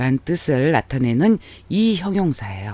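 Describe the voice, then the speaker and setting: A man's pitch swings very widely in this very clean recording with a silent background. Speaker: Japanese language teacher. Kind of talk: lecture.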